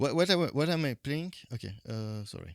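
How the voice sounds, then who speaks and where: A man speaks at a fairly quick pace in a fairly high pitch, his voice swinging very widely up and down, with a dry, close sound and no echo. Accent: French. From French-speaking Switzerland. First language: French. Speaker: video game streamer. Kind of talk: live gameplay commentary. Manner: hesitant, many fillers.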